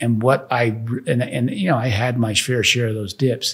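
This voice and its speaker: Somewhat breathy, a man talks at medium pitch and a moderate pace. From Netherlands. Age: 60s. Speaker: real estate developer and former pro golfer. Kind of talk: podcast interview. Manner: halting, many repeated words.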